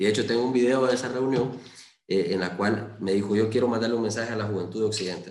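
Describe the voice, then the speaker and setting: A man at a very fast pace, fairly even in intonation, with audible room echo. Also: medium pitch for a man. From Honduras, Lempira (Valladolid). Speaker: lawyer and parliamentary candidate. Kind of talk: interview. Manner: hesitant, many fillers.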